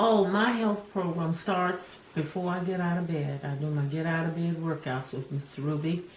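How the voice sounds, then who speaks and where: A woman speaking at a moderate pace with hardly any pauses, against audible room echo and noticeable background noise. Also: ordinary pitch variation. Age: 70s. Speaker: video host discussing aging. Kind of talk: casual chat.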